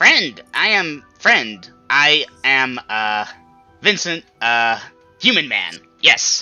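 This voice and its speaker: Over faint background music, a squeaky put-on character voice talks at a very slow pace. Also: man, medium pitch for a man. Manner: nervous, halting.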